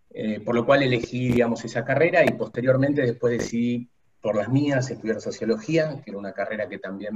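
A somewhat breathy male voice at a moderate pace. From Buenos Aires, Argentina. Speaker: human resources executive. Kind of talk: interview.

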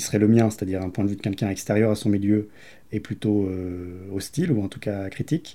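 A man's fairly low, dark, mellow voice with monotone, flat intonation, on a very clean recording with a silent background. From France, Grenoble. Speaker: documentary filmmaker. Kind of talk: interview. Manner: halting, many hesitations.

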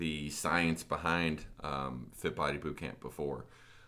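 Vocal fry marks this man's very deep, low pitch, which carries a bright, sharp tone and fairly even intonation. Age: 30s. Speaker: gym podcast host. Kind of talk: casual chat.

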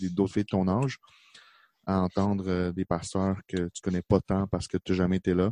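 In a Quebec accent, a man speaks at a fairly quick pace with a very deep, low pitch and a dark, mellow tone. His intonation is monotone and flat, and the sound is dry and close with no echo against a quiet background. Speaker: youth pastor. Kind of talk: casual chat.

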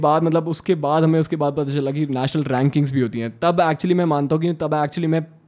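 An ordinary speaking voice with fairly even intonation, very even loudness and hardly any pauses. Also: man. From Haryana, India. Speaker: badminton player. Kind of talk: casual chat.

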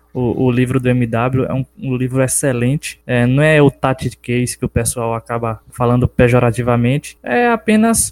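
Over music in the background, a man of medium pitch speaks at a moderate pace with fairly even intonation and hardly any pauses, in a dry, close sound with no echo. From Brazil, Bahia interior (Capim Grosso). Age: 20s. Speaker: personal trainer and book co-author. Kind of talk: casual interview. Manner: hesitant with filler 'é'.

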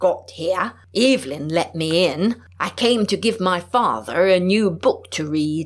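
The intonation rises and falls in a lively way. It is read aloud plainly.

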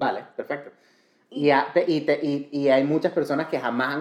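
A man is speaking. His pitch is fairly high. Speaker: culinary and medical cannabis specialist. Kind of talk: casual interview chat. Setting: in person, sitting together. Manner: Spanish with frequent switches into English.

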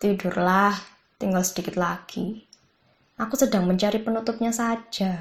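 Her voice sits at a medium pitch, somewhat breathy, at a moderate pace. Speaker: audiobook narrator. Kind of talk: literary audiobook reading of a short story. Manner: narrative, conversational storytelling with wry humor; shifts tone to voice characters in dialogue, animated.

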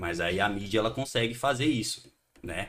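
A man with an ordinary speaking voice, fairly quick in pace, medium-pitched, with ordinary pitch variation. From Brazil, Santos (São Paulo coast). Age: 30s. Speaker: punk band musician. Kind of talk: casual chat.

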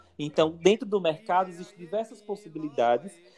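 Music can be heard behind the speaker. The man's pace is fairly quick. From Aracaju, Sergipe, northeastern Brazil. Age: 20s. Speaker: designer and religious priest. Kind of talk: casual chat.

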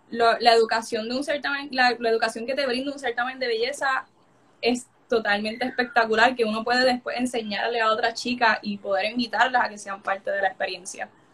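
A woman talks at a fairly quick pace. Her pitch is high. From Puerto Rico, Coamo. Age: young. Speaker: beauty pageant contestant. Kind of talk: casual interview. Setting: live stream. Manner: animated.

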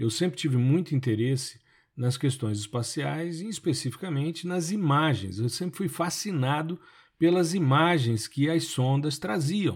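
On a very clean recording with a silent background, a man with a fairly high, somewhat breathy voice speaks at a fairly slow pace. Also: lively intonation. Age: 50s. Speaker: podcast host and remote sensing professor. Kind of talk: solo podcast monologue. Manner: conversational.

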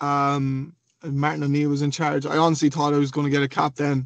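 Someone with a western Irish accent speaks at a moderate pace, the sound dry and close with no echo over a quiet background. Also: man. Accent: Irish (west of Ireland). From Galway, Ireland. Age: 20s. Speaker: professional footballer. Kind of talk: casual interview.

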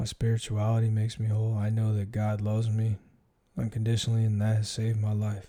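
A man talks at a very fast pace with fairly low pitch and a dark, mellow, somewhat breathy tone. His intonation is monotone and flat, and his loudness stays very even. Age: 40s. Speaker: podcast host, military veteran. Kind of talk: solo monologue, personal reflection. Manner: casual, filler-heavy.

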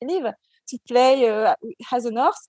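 In a French accent, a woman talks at a moderate pace and high pitch with ordinary pitch variation, the sound dry and close with no echo. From Djibouti and Martinique. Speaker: skincare brand founder. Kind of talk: interview. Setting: remote call.

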